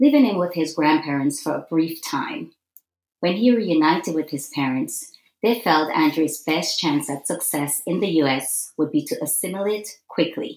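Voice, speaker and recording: At a moderate pace, a woman with an ordinary speaking voice talks at a fairly low pitch. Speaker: podcast host. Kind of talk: interview.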